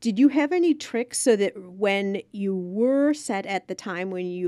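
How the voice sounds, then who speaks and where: A woman talks in a plain, everyday voice at a medium pitch with lively intonation. The sound is dry and close with no echo, in a very clean recording with a silent background. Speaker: podcast host. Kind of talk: podcast interview questions.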